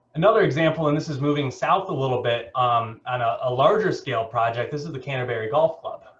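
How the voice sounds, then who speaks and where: Over noticeable background noise, a man talks at a very fast pace with hardly any pauses. His pitch is fairly high, with ordinary variation. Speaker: keynote speaker, geospatial technology director. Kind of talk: keynote presentation. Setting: video call.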